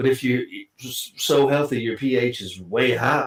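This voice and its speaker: A man's medium-pitched voice at a moderate pace, with a Southern US accent. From Kentucky. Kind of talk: casual chat.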